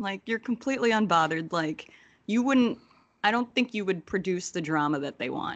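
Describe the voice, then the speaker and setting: Using an ordinary speaking voice, a woman with an American accent speaks at a fairly quick pace with medium pitch and lively intonation. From New Jersey. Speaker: wrestling commentator guest. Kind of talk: casual chat.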